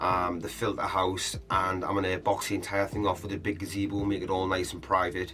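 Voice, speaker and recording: Amid noticeable background noise, a man talks at a fairly quick pace in a fairly low pitch. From northeast England, South Shields. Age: 30s. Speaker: hobbyist koi keeper, channel owner. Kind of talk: casual vlog introduction.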